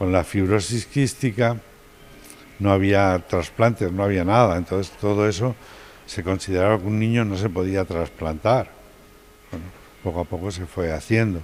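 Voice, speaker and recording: A man's fairly low pitch, fairly even intonation, moderate pace, and long, frequent pauses. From Madrid, Spain. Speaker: pediatric pulmonologist and professor. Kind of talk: TV interview.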